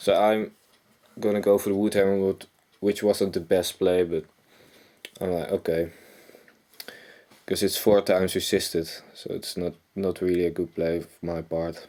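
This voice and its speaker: A man with a very deep, low pitch and a dark, mellow tone speaks at a moderate pace in a Dutch accent, his intonation monotone and flat, with long, frequent pauses. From Netherlands. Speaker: gaming youtuber. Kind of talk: game commentary. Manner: casual, halting with self-corrections.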